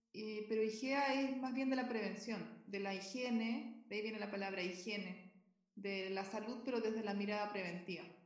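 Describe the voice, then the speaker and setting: Audible room echo surrounds a woman speaking at a moderate pace. Her pitch is fairly high, with fairly even intonation. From southern Chile (Concepción). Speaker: physician and health quality consultant. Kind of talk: interview.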